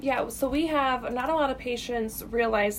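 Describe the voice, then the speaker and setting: Using an unremarkable speaking voice, a woman with an American accent talks at a fairly slow pace with ordinary pitch variation. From Illinois. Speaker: radiation therapist. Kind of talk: radio interview.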